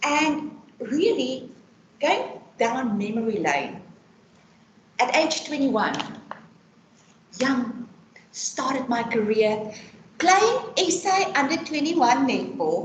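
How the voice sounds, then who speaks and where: Loud and very slow, a woman's high-pitched voice makes very wide pitch swings between long, frequent pauses, with audible room echo and noticeable background noise. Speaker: employee benefits consultant. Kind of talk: personal testimony talk. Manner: talkative.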